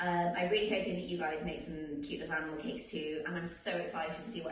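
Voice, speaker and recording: Very fast and with ordinary pitch variation, a woman with an English accent talks in a fairly low pitch, with audible room echo and noticeable background noise. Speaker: vet and baking show contestant. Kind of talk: tutorial.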